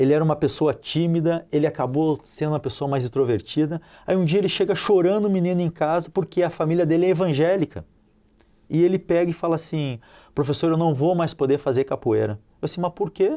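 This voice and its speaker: On a very clean recording with a silent background, a man talks fairly quickly in a dark, mellow tone with ordinary pitch variation. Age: 40s. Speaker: capoeira teacher. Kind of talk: TV interview. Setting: TV studio. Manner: animated; halting.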